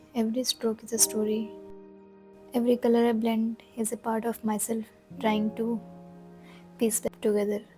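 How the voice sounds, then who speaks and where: A soft-spoken woman at a fairly high pitch, fairly slow and monotone, with flat intonation over music in the background. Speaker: art vlogger. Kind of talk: reflective voiceover narration.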